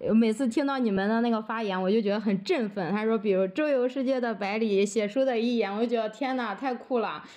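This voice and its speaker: A woman with a fairly high pitch and a dark, mellow tone talks at a fairly quick pace with hardly any pauses. Her pitch variation is ordinary, and the background is quiet. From Henan, rural China. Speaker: rural primary school teacher. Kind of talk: casual interview conversation.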